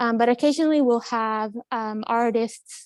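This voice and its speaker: A woman with a Spanish accent speaks at a moderate pace with fairly even intonation, the sound dry and close with no echo and the background quiet. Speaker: college admissions counselor. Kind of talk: live campus tour. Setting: walking tour on campus, live stream. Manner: casual, with many fillers.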